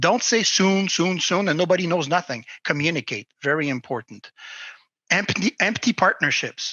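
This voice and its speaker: A man speaks at a high pitch with lively intonation. His pace is moderate. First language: not English. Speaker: crypto industry advisor. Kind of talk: interview. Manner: halting.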